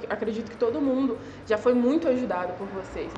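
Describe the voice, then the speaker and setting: With music in the background and audible room echo, a woman speaks in a high voice with lively intonation. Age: 20s. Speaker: podcast listener. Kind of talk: casual chat.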